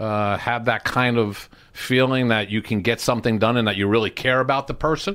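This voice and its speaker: In a New Jersey accent, a man of medium pitch talks at a fairly quick pace with very even loudness and hardly any pauses. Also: ordinary pitch variation. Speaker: sports agent. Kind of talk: casual chat.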